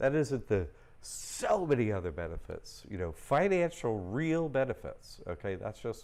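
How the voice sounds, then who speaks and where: Here a man is speaking. His pace is fairly slow. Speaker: livestream host teaching trust courses. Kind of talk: live stream Q&A. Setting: live stream. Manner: casual, rambling delivery with fillers; loud.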